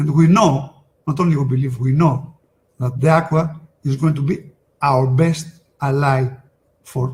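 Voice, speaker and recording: A man with a Greek accent talks at a fairly high pitch, sounding somewhat breathy. His intonation stays fairly even. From Greece. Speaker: sales presenter. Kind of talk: webinar product presentation. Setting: online webinar. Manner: halting, many fillers.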